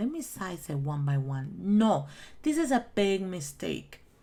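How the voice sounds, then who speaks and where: Very slowly and at a medium pitch, a woman with a Spanish accent speaks with very wide pitch swings. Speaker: crafting YouTuber. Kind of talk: tutorial; casual chat. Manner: halting.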